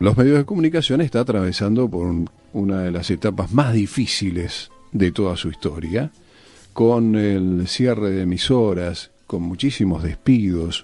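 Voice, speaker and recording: With music in the background, a man speaks at a fairly slow pace in a fairly low pitch with lively intonation. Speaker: radio host. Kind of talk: radio interview, host questions.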